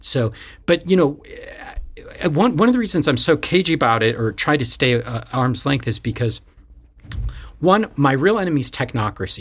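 A man with an American accent, somewhat breathy, at a fairly quick pace with lively intonation. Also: very clean recording, silent background. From US, bilingual household with Colombian mother. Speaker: political science professor. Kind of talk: casual chat.

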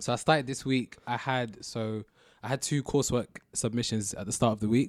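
Speaking at a moderate pace with a London accent, a man keeps a medium pitch and fairly even intonation in a dry, close sound with no echo. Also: very clean recording, silent background. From southwest London. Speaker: university student. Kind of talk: casual chat.

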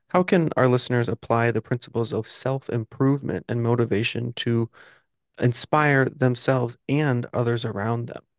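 Speaking at a moderate pace and a medium pitch, a man has an ordinary speaking voice, the sound dry and close with no echo and a quiet background. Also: fairly even intonation. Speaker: podcast host. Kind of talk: casual interview.

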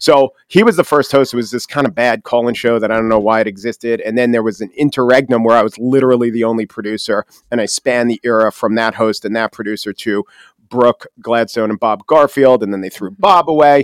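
Very fast speech in an American accent with ordinary pitch variation, a dry, close sound with no echo, and a very clean recording with a silent background. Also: man, medium pitch for a man. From Long Island, New York. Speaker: podcast host and commentator. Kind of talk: interview conversation. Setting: studio. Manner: fast talker.

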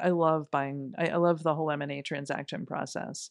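Here a woman talks with an unremarkable speaking voice. Her pitch is fairly low and her pace moderate. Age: 50s. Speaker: business executive. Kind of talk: interview.

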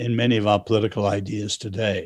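The audio is very clean and the background is silent. This man's delivery moves at a moderate speed. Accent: English. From China, then schooled in England. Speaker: author. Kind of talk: interview.

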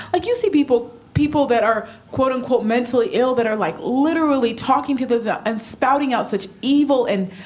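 A woman speaks with a high voice. There is noticeable noise behind her. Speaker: church attendee. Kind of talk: casual chat. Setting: stage with audience.

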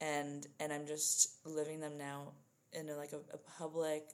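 The speaker has a New Jersey accent. The pace is fairly slow. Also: woman. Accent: New Jersey American. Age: 20s. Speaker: writer. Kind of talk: casual interview.

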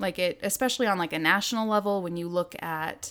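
Over a silent background in a very clean recording, a woman speaks at a medium pitch with ordinary pitch variation, her voice shaky. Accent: American. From southern Idaho. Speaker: adoptive mother and graphic designer. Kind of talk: interview. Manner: slight quiver in voice.

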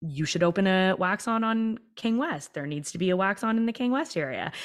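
With a Canadian accent, a woman talks in a normal speaking voice at a moderate pace, her pitch varying in an ordinary way. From Canada, Toronto. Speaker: entrepreneur and leadership coach. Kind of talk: interview conversation.

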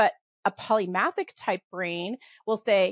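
The background is silent and the recording very clean. No echo is present, and the sound is dry and close. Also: woman. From Western Canada. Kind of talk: casual interview chat. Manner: fast talker.

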